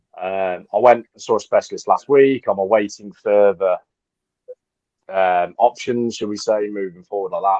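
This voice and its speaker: A man at a moderate pace, in a dry, close sound with no echo. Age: 30s. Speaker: football podcast panelist. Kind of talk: podcast testimony. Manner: halting.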